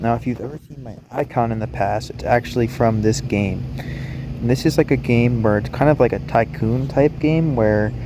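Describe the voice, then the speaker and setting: Over noticeable background noise, a man speaks at a moderate pace with hardly any pauses. His pitch variation is ordinary. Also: medium pitch for a man, big swings in loudness. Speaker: gaming youtuber. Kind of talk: gameplay tutorial. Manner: raised volume to be picked up; hesitant with many ums. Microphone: phone mic struggles to pick up voice.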